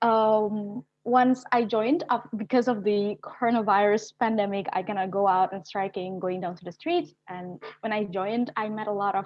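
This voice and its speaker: A woman speaks in an Indonesian accent at a moderate pace, with hardly any pauses. Her pitch is medium with ordinary variation, and her loudness swings widely. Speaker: youth climate activist. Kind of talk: webinar panel discussion. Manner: halting.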